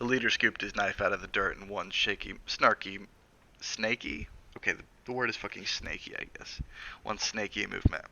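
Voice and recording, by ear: Fairly level intonation from a natural voice reading aloud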